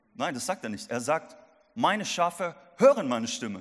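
On a very clean recording with a silent background, a man with a fairly high pitch sounds animated, his pitch swinging very widely. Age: 20s. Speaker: youth pastor. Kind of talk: sermon. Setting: church service.

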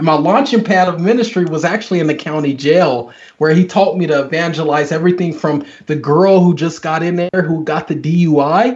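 At a moderate pace, a man with an American accent speaks in a high pitch with ordinary pitch variation. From US, military family; Oklahoma, Kansas, Texas. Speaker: pastor and author. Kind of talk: interview testimony.

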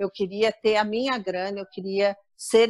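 A woman with an unremarkable speaking voice talks at a fairly slow pace and a fairly high pitch. Her intonation is fairly even, and the sound is dry and close with no echo. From Rio de Janeiro suburbs, Brazil. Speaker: corporate travel speaker and author. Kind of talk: interview.

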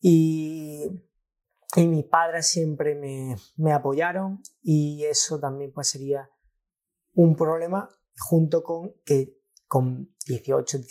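A man with a fairly high-pitched voice. His pitch varies in an ordinary way. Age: 20s. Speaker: trader. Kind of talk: casual chat.

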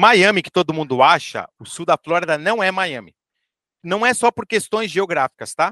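A bright, sharp tone, dry and close with no echo, against a quiet background. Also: man. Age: 40s. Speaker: real estate entrepreneur. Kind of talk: interview conversation.

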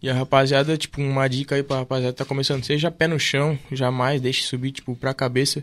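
A man talks at a fairly quick pace with hardly any pauses. His intonation is monotone and flat. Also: medium pitch for a man. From Camboriú, Santa Catarina, southern Brazil. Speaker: DJ and music producer. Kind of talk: casual chat.

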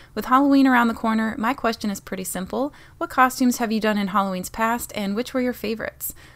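Pitch varies in an ordinary way. The pace is very fast. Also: woman, fairly high pitch for a woman. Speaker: guest on gaming podcast. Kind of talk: casual chat.

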